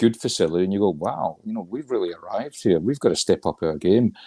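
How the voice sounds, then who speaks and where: A very fast man with a Scottish accent and a dark, mellow tone, recorded dry and close with no echo, in a very clean recording with a silent background. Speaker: regional football association chair. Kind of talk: interview.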